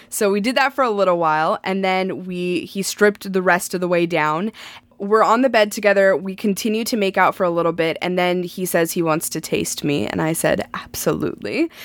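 With a plain, everyday voice, a woman speaks at a fairly quick pace with medium pitch, ordinary pitch variation and hardly any pauses. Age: 30s. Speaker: podcast co-host. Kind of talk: casual chat. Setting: at home by a lake.

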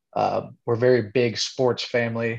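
A man talks at a moderate pace. He has a Midwestern American accent. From Indiana (Kokomo). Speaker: plant manager. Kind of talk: casual interview.

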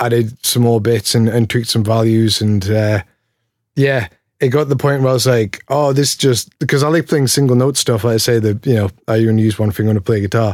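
In a Geordie accent, a man speaks at a moderate pace with a medium pitch and fairly even intonation. The recording is very clean, with a silent background. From Newcastle, northeast England. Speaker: pedal maker. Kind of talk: casual interview chat.

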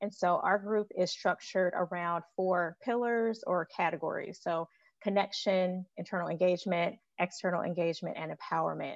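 Over a quiet background with a dry, close sound and no echo, a woman with an American accent speaks in a plain, everyday voice at medium pitch, at a moderate pace with fairly even intonation. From Chicago. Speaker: healthcare administrator. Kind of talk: podcast panel discussion.

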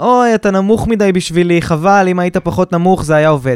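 The voice has an animated tone and lively intonation, with a dry, close sound with no echo. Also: man. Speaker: podcast co-host, businessman. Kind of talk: casual chat. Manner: halting.

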